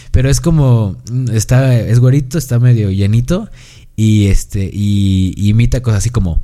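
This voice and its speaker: A man's medium-pitched, dark, mellow voice at a moderate pace, with ordinary pitch variation and very even loudness. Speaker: podcast host. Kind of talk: casual chat. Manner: animated.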